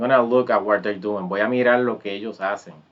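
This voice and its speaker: Music plays in the background as the speaker talks at a fairly quick pace with fairly even intonation. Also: man. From Puerto Rico. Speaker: Spanish teacher. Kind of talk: tutorial. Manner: casual.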